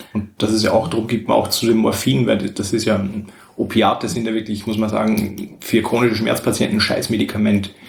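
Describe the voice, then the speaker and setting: The voice is somewhat breathy, its intonation fairly even. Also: man, fairly low pitch for a man, fairly quick pace. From Austria. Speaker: guest. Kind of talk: casual chat. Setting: shared table mic, several people in one room. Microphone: poor audio quality.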